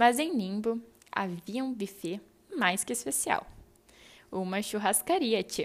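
The intonation is lively. The pace is fairly slow. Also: woman. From southern Brazil, Rio Grande do Sul. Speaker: podcaster. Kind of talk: personal storytelling monologue.

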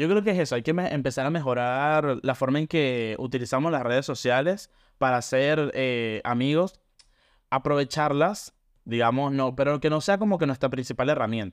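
An ordinary speaking voice at a moderate pace, with ordinary pitch variation and very even loudness, comes through over a quiet background. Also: man, fairly high pitch for a man. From Venezuela, Caracas. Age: 20s. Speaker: podcast co-host. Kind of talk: casual chat.

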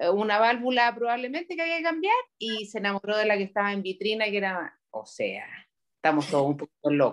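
At a fairly quick pace, a woman with a Chilean accent speaks in a fairly high pitch, her pitch swinging very widely. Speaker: podcast co-host. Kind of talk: casual chat.

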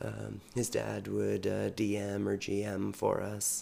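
This man talks with a Western Canadian accent. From British Columbia, Canada. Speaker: podcast co-host, gymnastics gym director. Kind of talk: casual chat.

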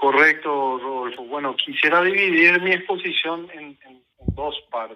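A man speaks in a plain, everyday voice, at a fairly slow pace. His loudness swings widely while his pitch varies an ordinary amount. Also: fairly high pitch for a man. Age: 40s. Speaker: party electoral tribunal president. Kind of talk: radio interview.

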